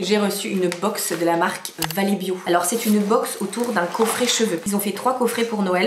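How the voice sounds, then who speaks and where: With noticeable background noise and audible room echo, a woman speaks at a moderate pace, her medium pitch carried in fairly even intonation. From northern France. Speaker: vlogger and windsurfer. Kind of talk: casual vlog. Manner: chatty, informal.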